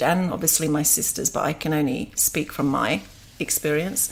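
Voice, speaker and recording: This woman talks at a moderate pace in a very deep, low pitch. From England. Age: 50s. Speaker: yoga teacher. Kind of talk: interview, personal story.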